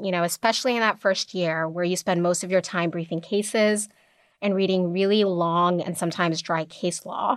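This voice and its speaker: Recorded very cleanly against a silent background, a woman with an American accent and a normal speaking voice talks at a fairly quick pace, her pitch medium with ordinary variation. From Kenya, then North Carolina. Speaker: lawyer. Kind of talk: interview. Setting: studio.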